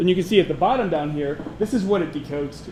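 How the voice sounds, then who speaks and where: A man is speaking with audible room echo. Noticeable background noise runs under his voice. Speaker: security conference speaker. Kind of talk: conference talk with live demo. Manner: fast; hesitant with many fillers.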